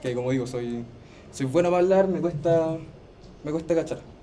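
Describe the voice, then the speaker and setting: A man with a Chilean accent speaks at a moderate pace and a fairly high pitch with ordinary variation, leaving long, frequent pauses over noticeable background noise. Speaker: teaching assistant. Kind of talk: tutorial class.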